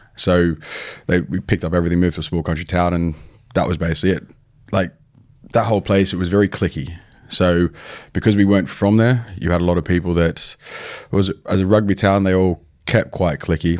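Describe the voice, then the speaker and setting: Despite a fairly quick pace, this man's very deep, low voice holds fairly even intonation and breaks into long, frequent pauses. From Australia (New South Wales). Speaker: online fitness coach, former bodybuilder. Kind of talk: podcast interview. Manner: casual, conversational.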